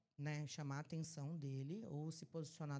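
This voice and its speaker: A woman speaks at a fairly quick pace in an animated tone. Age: 30s. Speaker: trade marketing supervisor. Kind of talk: podcast interview.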